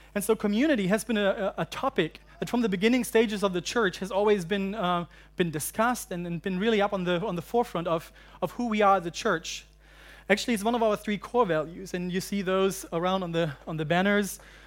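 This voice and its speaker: A man with a German accent speaks very fast in a high voice. The recording is very clean, with a silent background. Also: ordinary pitch variation. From Germany, central German highlands. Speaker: university pastor. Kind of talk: sermon. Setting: church. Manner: halting.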